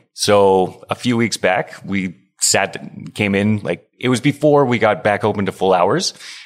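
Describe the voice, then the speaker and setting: This is a man with an ordinary speaking voice, fairly low in pitch with ordinary pitch variation. The recording is very clean with a silent background. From Alberta, Canada (Stony Plain). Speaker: head brewer. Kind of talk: casual interview chat. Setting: on location at a brewery.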